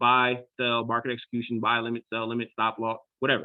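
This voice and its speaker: A man's animated voice at a fairly quick pace. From Philadelphia, US Northeast. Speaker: trading educator. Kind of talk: online class tutorial. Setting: video call. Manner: fast; casual, animated.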